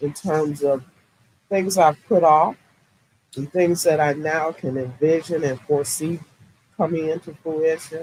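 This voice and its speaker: Her pitch is very deep and low for a woman. She speaks at a fairly slow pace with monotone, flat intonation. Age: 60s. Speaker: podcaster and entrepreneur. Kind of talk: live stream interview.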